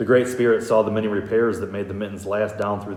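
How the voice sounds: Intonation stays fairly even in a natural reading voice.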